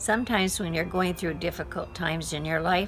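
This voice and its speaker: Over music in the background, a woman with an American accent talks in a fairly low pitch with ordinary pitch variation. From Washington State, US. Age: 90s. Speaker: retired music teacher. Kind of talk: life story testimony.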